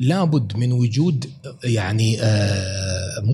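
A man is talking. His pitch shows ordinary variation. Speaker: professor and author. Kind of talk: podcast interview.

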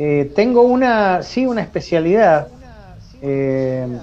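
Against noticeable background noise, a man talks in a fairly high pitch. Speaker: psychologist and university professor. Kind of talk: interview.

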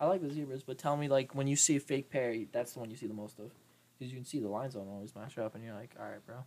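Speaking at a very fast pace, a man has a dark, mellow tone with big swings in loudness. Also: medium pitch for a man, ordinary pitch variation. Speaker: college student podcaster. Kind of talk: casual banter. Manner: joking.

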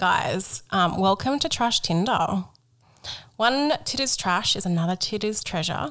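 With an Australian accent, this speaker moves at a fairly slow pace through very wide pitch swings. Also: woman, medium pitch for a woman. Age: 30s. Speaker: podcast co-host. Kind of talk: casual chat; segment presenting.

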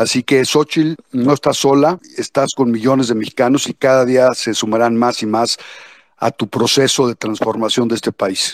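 Recorded with a dry, close sound and no echo, a man with an unremarkable speaking voice talks at medium pitch and a moderate pace with fairly even intonation. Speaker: anti-corruption activist. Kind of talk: political statement in online discussion.

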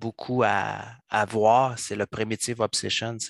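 Recorded very cleanly against a silent background, with a dry, close sound and no echo, a man speaks very slowly at a medium pitch with fairly even intonation. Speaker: software coach. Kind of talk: casual chat.

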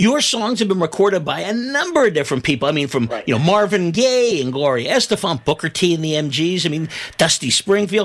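A man with a high voice talks at a fairly quick clip, his pitch swinging very widely and hardly a pause to be heard. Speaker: radio host. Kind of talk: radio interview, host patter. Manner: warm, upbeat, enthusiastic.

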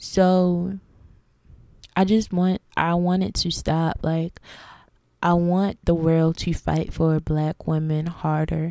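In a very clean recording with a silent background, a woman with an American accent speaks very slowly with long, frequent pauses, her fairly low voice dark and mellow and her intonation monotone and flat. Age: 20s. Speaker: podcast host and content creator. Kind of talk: solo monologue rant.

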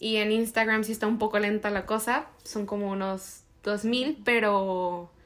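A woman speaks at a fairly slow pace with a fairly high pitch. Her intonation stays fairly even, and the recording is very clean with a silent background. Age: 20s. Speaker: podcast co-host. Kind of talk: casual chat.

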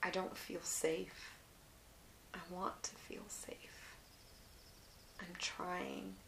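A woman's whispering at a very slow pace, with long, frequent pauses, big swings in loudness, audible room echo and noticeable background noise. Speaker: artist and memoir podcaster. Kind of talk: casual monologue and memoir reading. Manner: relaxed, unhurried.

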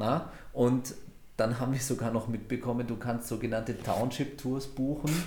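Somewhat breathy, a man speaks at a moderate pace with monotone, flat intonation in a room with audible echo. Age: 40s. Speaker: podcast host. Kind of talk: casual chat. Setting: recorded in a cigar shop.

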